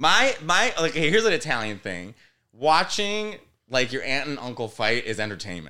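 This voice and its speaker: In a very clean recording with a silent background, a man with a Chicago-area accent speaks at a moderate pace in a bright, sharp, animated tone, with vocal fry and very wide pitch swings. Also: medium pitch for a man. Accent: Chicago-area American English. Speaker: comedian. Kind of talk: casual chat. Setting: studio.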